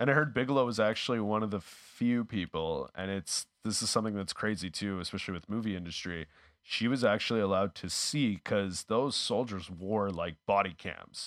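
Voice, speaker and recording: In a normal speaking voice with a Canadian accent, a man talks at a fairly quick pace with hardly any pauses and a fairly low pitch, on a very clean recording with a silent background and dry, close sound with no echo. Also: ordinary pitch variation. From Canada, Winnipeg. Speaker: actor, comedian and YouTuber. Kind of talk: casual chat.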